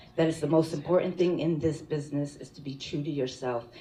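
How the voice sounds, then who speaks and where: Talking at a fairly quick pace, a woman uses a very deep, low pitch and fairly even intonation. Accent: New York. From Connecticut. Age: 40s. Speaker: professional wrestler, hall of fame inductee. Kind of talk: acceptance speech.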